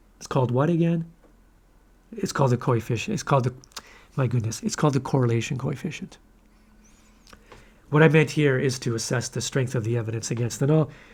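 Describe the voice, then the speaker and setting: A man speaks at a fairly quick pace in a medium, somewhat breathy voice. His pitch varies in an ordinary way. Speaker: statistics instructor. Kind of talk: lecture. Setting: recorded video lecture. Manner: occasionally tongue-tied.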